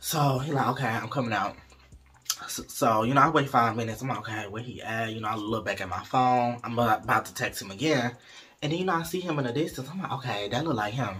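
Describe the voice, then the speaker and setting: Light background noise accompanies a man speaking at a very fast pace with ordinary pitch variation. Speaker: storyteller vlogger. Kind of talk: casual vlog chat. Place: home room. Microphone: phone near.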